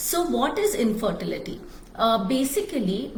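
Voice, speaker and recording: A woman's high-pitched voice with a Marathi accent, fairly slow, with very wide pitch swings, audible room echo and noticeable background noise. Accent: Indian English, Marathi. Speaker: fertility doctor. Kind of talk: live stream talk. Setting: Facebook Live.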